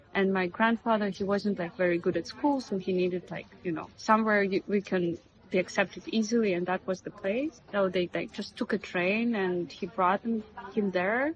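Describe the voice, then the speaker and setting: A woman speaks at a medium pitch in a Russian accent. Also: ordinary pitch variation, moderate pace. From Russia (Karelia region). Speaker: media artist. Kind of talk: interview. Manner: halting, many fillers.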